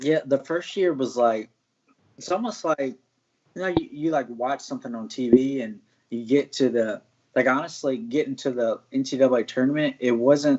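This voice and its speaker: With an American accent and an ordinary speaking voice, a man speaks at a moderate pace, his pitch fairly high with ordinary variation. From US South, Martinsville, Virginia. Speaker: mixed martial arts fighter, former college wrestler. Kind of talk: interview. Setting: live stream.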